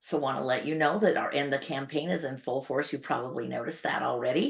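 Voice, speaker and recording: Vocal fry runs through a woman's voice as audible room echo surrounds it. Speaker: patient advocacy nonprofit leader hosting town hall. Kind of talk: online town hall announcements. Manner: fast; talkative.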